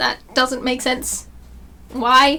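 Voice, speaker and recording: A woman with an Australian accent speaks at a high pitch. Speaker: YouTuber. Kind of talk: casual vlog tutorial. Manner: fast.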